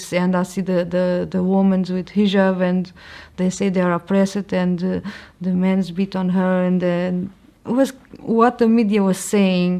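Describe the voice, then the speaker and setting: Her voice medium in pitch with a dark, mellow tone, a woman speaks at a fairly slow pace in a monotone, flat intonation. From Portugal. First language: Portuguese. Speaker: convert sharing her story. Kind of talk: testimony. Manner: halting.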